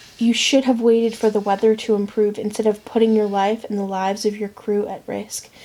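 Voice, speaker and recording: Soft-spoken, a woman talks at a fairly high pitch. Her intonation is monotone and flat. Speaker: ASMR creator. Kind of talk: romance novel reading for sleep.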